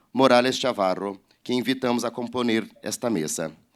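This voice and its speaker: A man with a Portuguese accent speaks at a fairly slow pace with ordinary pitch variation. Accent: Portuguese-speaker accent in Spanish. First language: Portuguese (speaking Spanish). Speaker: publisher. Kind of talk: reading aloud. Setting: online event livestream. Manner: halting.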